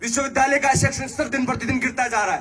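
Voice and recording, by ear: At a very fast pace, a man speaks at an extremely high pitch with fairly even intonation, a fairly bright tone and a slightly husky edge.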